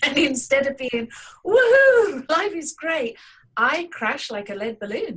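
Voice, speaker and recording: Fairly slow speech in an English accent, with very wide pitch swings. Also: woman, high pitch for a woman. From England. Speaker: artist. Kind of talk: interview.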